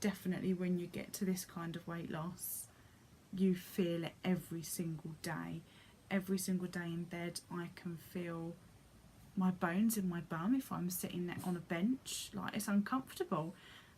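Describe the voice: At a moderate pace, a woman speaks with fairly low pitch, fairly even intonation and a slightly mellow tone.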